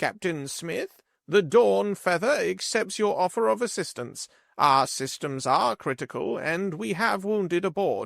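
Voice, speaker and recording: In a put-on character voice, a man speaks at a high pitch and a moderate pace. The recording is very clean, with a silent background. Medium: read story. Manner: formal, dignified.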